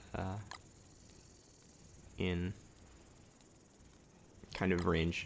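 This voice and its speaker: The speaker is a man with a very deep, low pitch. He is soft-spoken. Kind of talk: let's play game commentary.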